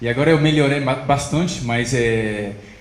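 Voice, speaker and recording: In a French accent, a man speaks in a fairly high pitch with ordinary pitch variation. There is audible room echo along with noticeable background noise. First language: French (speaking Portuguese). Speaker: stand-up comedian. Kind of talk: stand-up.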